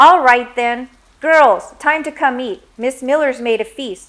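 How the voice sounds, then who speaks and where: A woman's growling put-on character voice, high-pitched, raised and projected, at a fairly slow pace with big swings in loudness and ordinary pitch variation. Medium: read story. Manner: harsh, growling, loud.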